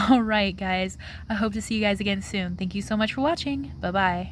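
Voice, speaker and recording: A woman talking at a fairly quick pace, with audible room echo. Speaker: tarot reader. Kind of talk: pick-a-card tarot reading to camera. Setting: outdoors. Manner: casual, filler-heavy.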